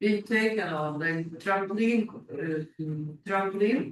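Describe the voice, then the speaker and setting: Pacing himself fairly slowly, a man speaks with ordinary pitch variation. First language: not English. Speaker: public delegate at council meeting. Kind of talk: public delegation Q&A. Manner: halting.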